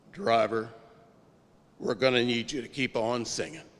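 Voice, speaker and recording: In a put-on character voice, a man speaks with a raspy, medium-pitched sound, ordinary pitch variation and a moderate pace. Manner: commanding, gospel-like.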